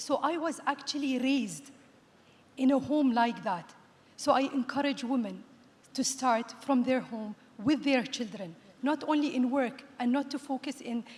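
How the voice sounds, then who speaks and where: Her pitch is high, and it varies in an ordinary way. This woman keeps a moderate pace. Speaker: panelist, youth program board member and entrepreneur. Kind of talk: panel discussion. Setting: conference stage.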